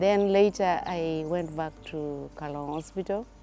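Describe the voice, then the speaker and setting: Music plays in the background as a woman speaks with a very deep, low pitch. Her pace is fairly slow and her intonation fairly even. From northern Uganda. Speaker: anesthetic tutor. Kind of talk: interview answer.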